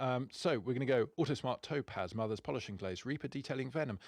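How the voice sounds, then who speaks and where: A man's voice at medium pitch, very fast and full of lively intonation, with vocal fry and a quiet background. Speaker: car detailing magazine podcast host. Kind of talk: casual podcast discussion. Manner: fast listing.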